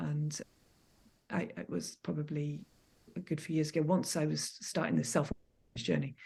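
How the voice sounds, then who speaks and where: A soft-spoken woman with a very deep, low pitch and vocal fry talks at a moderate pace with long, frequent pauses. Her tone is dark and mellow, and her intonation is lively. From Scotland. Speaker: landscape photographer. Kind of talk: podcast interview answer.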